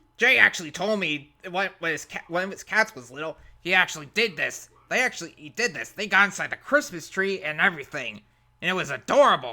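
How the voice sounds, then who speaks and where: A man puts on a character voice at a high pitch with lively intonation. He moves at a fairly quick pace, his loudness swinging widely. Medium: solo performance. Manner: loud, exclamatory.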